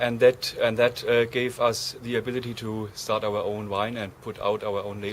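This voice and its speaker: A man's monotone, flat delivery with hardly any pauses over noticeable background noise. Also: medium pitch for a man, moderate pace. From Germany. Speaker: winemaker. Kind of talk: interview. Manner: halting.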